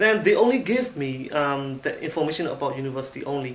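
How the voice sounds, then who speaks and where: Speaking very fast with a Burmese accent, a man uses a fairly high pitch and lively intonation. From Myanmar, Yangon. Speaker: IT assistant manager, former international student. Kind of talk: testimonial. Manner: halting.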